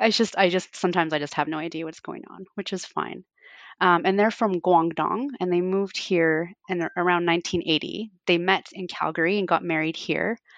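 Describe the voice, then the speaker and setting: A woman with a plain, everyday voice speaks in a Canadian accent at a fairly quick pace. Her pitch is fairly low, with ordinary variation. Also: quiet background. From Canada, Fort Frances, Ontario. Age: 40s. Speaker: home cook and food Instagrammer. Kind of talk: casual interview.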